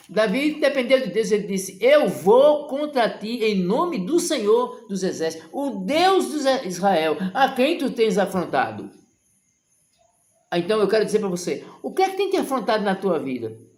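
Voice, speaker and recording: With audible room echo, a man speaks at a fairly slow pace. His high pitch moves in very wide swings. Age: 60s. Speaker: evangelical preacher. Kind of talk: sermon. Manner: impassioned.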